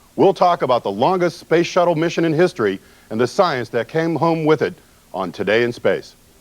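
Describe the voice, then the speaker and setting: A man talks at a fairly quick pace with vocal fry. His pitch sits fairly high and his intonation is lively. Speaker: science news show host. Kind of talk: TV news presenting.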